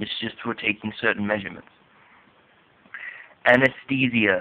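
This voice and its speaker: A man is speaking. His intonation stays monotone and flat. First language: not English. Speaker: student vlogger explaining vocabulary. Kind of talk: tutorial. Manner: halting.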